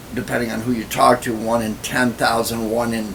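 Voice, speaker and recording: A man speaks over noticeable background noise. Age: 60s. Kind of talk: personal vlog monologue. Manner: casual, filler-heavy.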